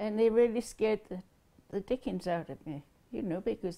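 Speaking at a moderate pace in a British accent, a woman has a dark, mellow tone and ordinary pitch variation. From England. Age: 80s+. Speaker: World War II veteran. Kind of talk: interview answer. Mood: recounting a frightening event. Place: home room. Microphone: lapel.

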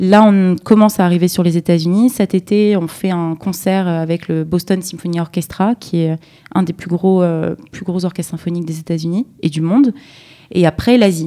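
A dark, mellow tone carries fairly even intonation. The pace is moderate and the background quiet. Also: woman, fairly low pitch for a woman. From southern France, Nice; France. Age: young. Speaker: startup co-founder; guest. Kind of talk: interview. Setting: studio. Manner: halting. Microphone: far from the mic; studio mic.

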